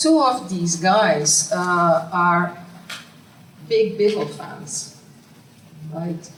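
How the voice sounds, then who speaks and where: Someone with a Brazilian accent talks at a very slow pace with long, frequent pauses, amid audible room echo and noticeable background noise. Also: woman, fairly low pitch for a woman, ordinary pitch variation. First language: Portuguese. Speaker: academic researcher. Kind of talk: conference Q&A. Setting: conference room with audience. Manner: halting.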